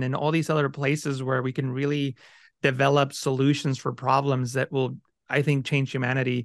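The speaker has a Spanish accent. The background is quiet. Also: man. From Mexico, raised in California from age ten. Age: 40s. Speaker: Photoshop educator and YouTube creator. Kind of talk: interview conversation.

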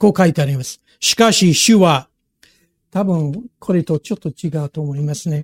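This man's voice sits fairly high. His pitch moves with ordinary variation. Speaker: pastor. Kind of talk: sermon. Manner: halting.

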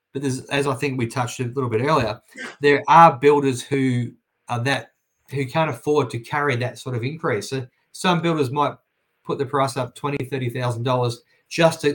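A man's somewhat breathy, medium-pitched voice with an Australian accent, fairly even intonation and a moderate pace. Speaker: property and house building expert. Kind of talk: interview.

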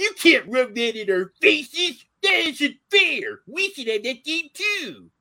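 In a whiny, high-pitched put-on character voice, the speaker moves at a fairly slow pace with hardly any pauses and very wide pitch swings. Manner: complaining.

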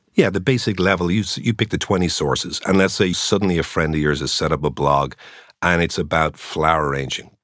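In an Irish accent, a man speaks very fast at a very deep, low pitch with vocal fry and ordinary pitch variation, in a very clean recording with a silent background. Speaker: journalist turned tech entrepreneur. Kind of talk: interview conversation.

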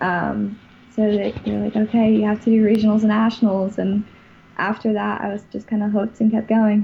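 A woman with a fairly high, somewhat breathy voice and a dark, mellow tone speaks at a fairly quick pace in a monotone, flat intonation. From US South, Florida (West Palm Beach). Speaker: college water ski team president. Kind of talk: interview.

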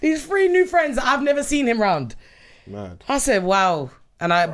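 With a London accent, a woman speaks at a moderate pace, her pitch swinging very widely, on a very clean recording with a silent background. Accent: London (Multicultural London English). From London (Southeast). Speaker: returning podcast guest. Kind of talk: casual chat.

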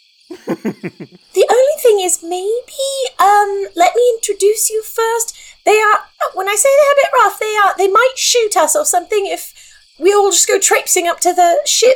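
A woman's put-on character voice, squeaky and extremely high, bubbly in tone, at a moderate pace. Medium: actual play. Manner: rambling, hesitant, bubbly.

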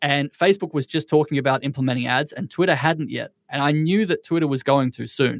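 Here is a man with an unremarkable speaking voice, fairly high in pitch with ordinary pitch variation, talking at a fairly quick pace with hardly any pauses. The recording is very clean with a silent background and a dry, close sound with no echo. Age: 30s. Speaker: entrepreneur and biohacker. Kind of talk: interview.

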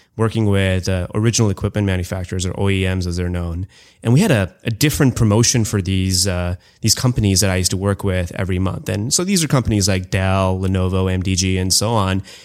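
A man speaks at a very fast pace with a very deep, low pitch and fairly even intonation. The recording is very clean, with a silent background. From India. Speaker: marketing agency CEO. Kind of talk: casual interview chat.

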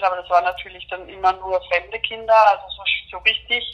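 A woman speaks at a moderate pace in a medium-pitched, monotone voice with flat intonation. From Austria. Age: 30s. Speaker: HIV patient and activist. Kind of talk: interview. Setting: phone call. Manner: hesitant, many fillers.

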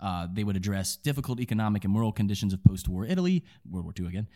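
Fairly low in pitch with a dark, mellow tone, a man talks at a very fast pace with ordinary pitch variation on a very clean recording with a silent background. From Kentucky. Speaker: film podcast co-host. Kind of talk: casual chat.

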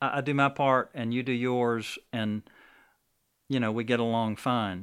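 On a very clean recording with a silent background, a man with an American accent speaks at a moderate pace and medium pitch with fairly even intonation. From Alabama, Birmingham. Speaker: coffee shop owner. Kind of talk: interview testimony. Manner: halting.

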